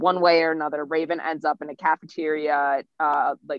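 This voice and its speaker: A woman speaks at a moderate pace in a very deep, low voice. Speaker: podcast co-host. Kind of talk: casual chat.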